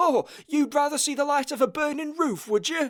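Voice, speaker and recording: A man does a put-on character voice at an extremely high pitch and a moderate pace. The recording is very clean with a silent background. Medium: read story.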